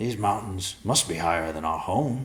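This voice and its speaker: Using a put-on character voice, a man speaks at a moderate pace with a raspy, fairly low pitch and lively intonation. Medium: read story.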